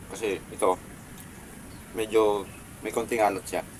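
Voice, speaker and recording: Noticeable background noise sits behind a man speaking at a moderate pace. His pitch is medium and his tone calm. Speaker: food vlogger. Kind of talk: mukbang vlog. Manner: calm, subdued.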